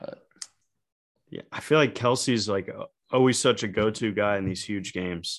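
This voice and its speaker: A man talks at a moderate pace with a fairly low pitch and ordinary pitch variation. His loudness swings widely, and he leaves long, frequent pauses. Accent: American. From Ohio. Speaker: sports podcast co-host. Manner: joking, teasing.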